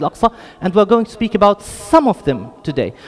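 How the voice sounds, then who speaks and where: A man with a high pitch and ordinary pitch variation talks against noticeable background noise. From Jerusalem, Palestine. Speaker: lecturer on Islamic heritage. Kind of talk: lecture. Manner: hesitant, many fillers.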